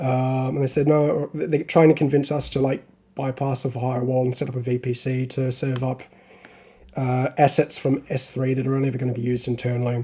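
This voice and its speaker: Somewhat breathy with a dark, mellow tone, a man speaks at a fairly quick pace and medium pitch in a monotone with flat intonation. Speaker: hobbyist live streamer. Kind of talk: live stream tutorial chat. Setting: live stream. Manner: casual, hesitant with fillers.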